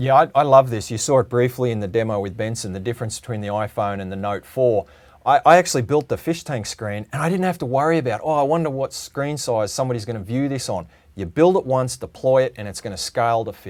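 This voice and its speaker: A man's medium-pitched voice with an Australian accent, very fast pace and lively intonation. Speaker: automation product presenter. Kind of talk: webinar presentation.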